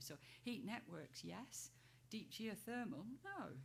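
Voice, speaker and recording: A woman's medium-pitched voice carries vocal fry. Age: 60s. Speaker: trade association chief executive. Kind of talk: panel discussion.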